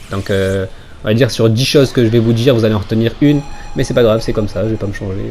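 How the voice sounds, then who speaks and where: Noticeable background noise surrounds a man whose fairly low voice keeps a fairly even intonation. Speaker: gaming YouTuber. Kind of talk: gameplay commentary. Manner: fast; casual, chatty.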